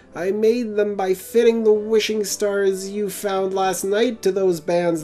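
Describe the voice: Putting on a character voice, a man speaks at a high pitch in a flat monotone at a fairly slow pace, over light background noise.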